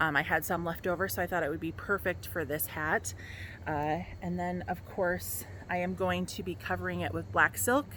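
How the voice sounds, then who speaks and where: A woman with an American accent and a very deep, low pitch speaks at a moderate pace in a bright, sharp tone with very wide pitch swings. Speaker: costume maker and sewing vlogger. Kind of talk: tutorial. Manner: hesitant, many fillers.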